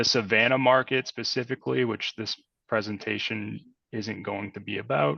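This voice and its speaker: A man speaks with a slight Boston accent at a fairly low pitch. His intonation is fairly even, with vocal fry. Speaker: industrial real estate broker. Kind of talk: webinar presentation. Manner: many fillers (um, uh).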